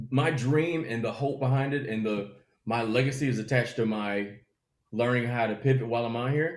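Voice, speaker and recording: A man with a Southern US accent speaks at a medium pitch and a fairly quick pace, his tone animated. His pitch varies in an ordinary way, and there is audible room echo. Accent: Southern twang. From US South. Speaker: comedian. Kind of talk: casual interview chat.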